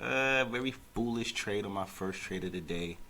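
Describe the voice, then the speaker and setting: A man speaks quietly at a fairly slow pace, with audible room echo and noticeable background noise. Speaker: day trader. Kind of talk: live trading commentary. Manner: quiet, speaking low; casual, hesitant.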